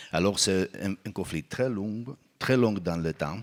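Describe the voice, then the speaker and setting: On a very clean recording with a silent background, a man with a Spanish accent speaks at a fairly slow pace with ordinary pitch variation, the sound dry and close with no echo. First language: Spanish (speaking French). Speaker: psychologist and truth commissioner. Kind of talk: conference panel talk. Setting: auditorium with audience. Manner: halting.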